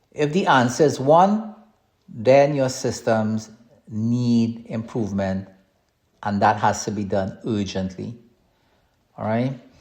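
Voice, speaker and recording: A man speaks with a strong Trinidadian accent. His pace is fairly slow and his intonation lively. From Trinidad and Tobago. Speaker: podcast host, cybersecurity consultant. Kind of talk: podcast monologue on business advice. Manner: hesitant, repeats words.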